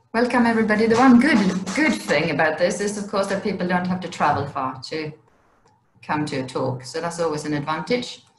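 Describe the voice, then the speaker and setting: With a Swedish accent, a woman speaks fairly quickly at a fairly low pitch, her voice making very wide pitch swings amid audible room echo. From Sweden. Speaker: wildlife education officer. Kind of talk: presentation. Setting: video call.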